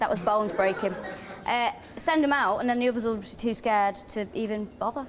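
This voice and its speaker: Against noticeable background noise, a woman with a strong Manchester accent talks fairly quickly at a fairly high pitch. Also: ordinary pitch variation. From North Manchester, England. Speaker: comedian. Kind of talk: comedy panel banter.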